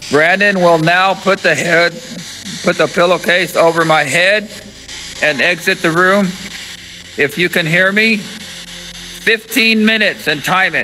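With a high pitch, a man talks at a fairly slow pace with fairly even intonation, very even loudness and long, frequent pauses over light background noise. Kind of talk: casual vlog narration. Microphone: phone near.

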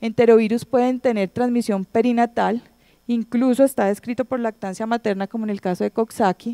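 Over a quiet background, a woman speaks at a fairly quick pace in a dark, mellow tone with monotone, flat intonation. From Colombia. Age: 30s. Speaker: pediatric infectious disease doctor; presenter. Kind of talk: conference lecture. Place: hall. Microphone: handheld.

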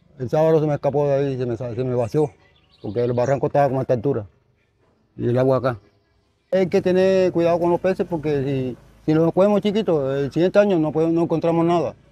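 Talking very fast at a fairly high pitch, a man with a Colombian Caribbean accent comes through dry with no echo. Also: ordinary pitch variation. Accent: Colombian Caribbean coastal Spanish. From Colombian Caribbean coast, Atlántico. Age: 70s. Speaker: artisanal fisherman. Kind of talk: storytelling interview; interview answer. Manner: halting, self-correcting. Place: street. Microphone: lapel.

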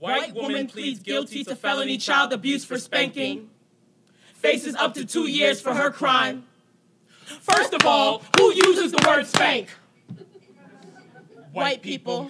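Over loud background noise, a raised, projected voice speaks at a fairly slow pace with ordinary pitch variation and long, frequent pauses. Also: man, extremely high pitch for a man. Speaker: slam poet. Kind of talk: spoken word poetry performance. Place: stage. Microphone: handheld.

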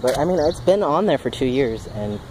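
Noticeable background noise surrounds a man talking at a fairly quick pace in a dry sound with no echo. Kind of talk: casual vlog chat. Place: street. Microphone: phone near.

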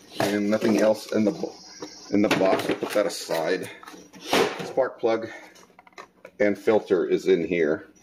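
Fairly slow speech from a man, broken by long, frequent pauses, over noticeable background noise. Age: 40s. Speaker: YouTuber doing DIY mower maintenance. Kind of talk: casual how-to video narration. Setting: outdoors at home.

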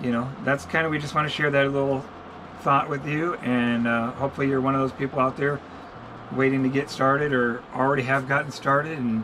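A man talks at a fairly quick pace in a flat monotone, with noticeable background noise behind him. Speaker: channel host. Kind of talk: casual vlog chat. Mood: encouraging, earnest. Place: home room. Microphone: camera far.

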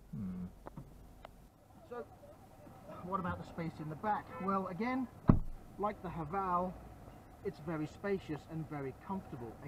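Over loud background noise, a man with a high voice and a British accent speaks at a fairly slow pace with long, frequent pauses, the sound dry with no echo. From UK. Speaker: car reviewer. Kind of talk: car review presentation. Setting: in a car in China. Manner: animated.

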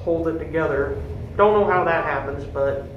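Noticeable background noise runs under the voice. The pace is moderate. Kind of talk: casual commentary. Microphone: phone near.

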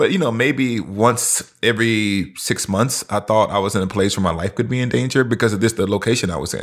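In a very clean recording with a silent background, a man with an American accent uses an ordinary speaking voice at medium pitch. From US South. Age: 40s. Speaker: professor and pastor. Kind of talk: casual chat.

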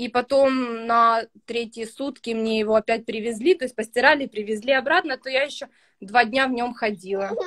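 Against a quiet background, a woman talks at a moderate pace with a fairly high pitch and ordinary pitch variation. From Ukraine, Kryvyi Rih; Ukraine. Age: 20s. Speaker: young mother, student; interviewee. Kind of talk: interview testimony. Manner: hesitant with fillers. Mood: relaxed, positive. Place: home room. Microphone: video call.

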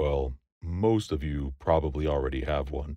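A man's very deep, low voice, somewhat breathy, comes through a dry sound with no echo against a quiet background. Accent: American. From United States. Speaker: voice actor. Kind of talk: voice-over demo / promotional read. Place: booth. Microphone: studio mic.

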